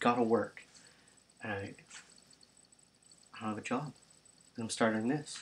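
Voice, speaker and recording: Soft-spoken, a man talks at a medium pitch. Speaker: youtuber. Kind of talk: casual vlog monologue. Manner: rambling with fillers.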